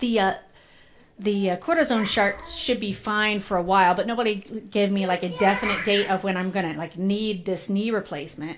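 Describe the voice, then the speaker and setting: This woman's voice sits at a medium pitch with ordinary pitch variation. She talks at a fairly quick pace. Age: 40s. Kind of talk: casual interview conversation. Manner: animated storytelling.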